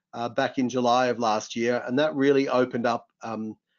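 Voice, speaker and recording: Speaking with an Australian accent, this voice moves at a fairly quick pace with fairly even intonation. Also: man. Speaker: tech company CEO. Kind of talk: webinar discussion. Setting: online webinar. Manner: fast.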